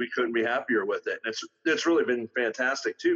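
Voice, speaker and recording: A man with a Western Pennsylvania accent, in a dry, close sound with no echo. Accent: Western Pennsylvania American. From northwestern Pennsylvania, near Erie. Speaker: auto mechanic and Sasquatch investigator. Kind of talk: casual interview.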